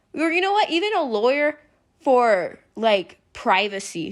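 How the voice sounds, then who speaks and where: A woman is speaking. Her tone is animated. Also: very clean recording, silent background. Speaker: youtuber. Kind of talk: casual commentary vlog. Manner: animated, yelling.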